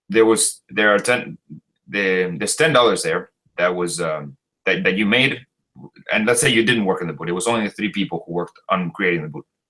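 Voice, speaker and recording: With a Spanish accent, a man talks at a fairly quick pace in a fairly low pitch, his tone bright and sharp and his intonation lively. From Chile. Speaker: Marxist debater. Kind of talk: debate. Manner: halting, stumbling over words.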